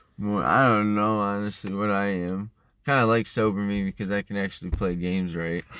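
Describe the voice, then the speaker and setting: A man speaks at a fairly quick pace in an unremarkable speaking voice, his fairly low pitch and fairly even intonation set against a quiet background. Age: 20s. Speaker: podcast co-host, young father. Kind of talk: casual chat.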